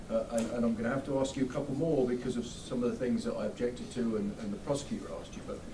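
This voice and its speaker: A man talking very fast with hardly any pauses, amid audible room echo and noticeable background noise. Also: medium pitch for a man, fairly even intonation. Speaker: defense attorney. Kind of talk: courtroom cross-examination. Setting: courtroom. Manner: halting, repetitive.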